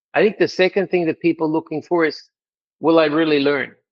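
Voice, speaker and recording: The man speaks in an Australian accent, and his pitch varies in an ordinary way. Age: 60s. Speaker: language school executive. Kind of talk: interview.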